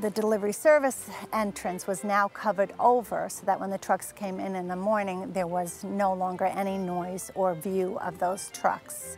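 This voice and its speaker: A woman talks at a moderate pace with ordinary pitch variation and hardly any pauses, the sound dry with no echo and faint music in the background. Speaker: tour guide. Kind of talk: tour guide presentation. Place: garden. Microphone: lapel.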